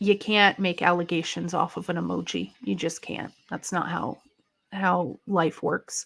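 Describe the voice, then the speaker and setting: A woman talks at a fairly slow pace. Her voice is fairly low in pitch, with vocal fry. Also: very clean recording, silent background. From Canada. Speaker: wrestling livestreamer. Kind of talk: casual live-stream commentary reading chat. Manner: casual, chatty.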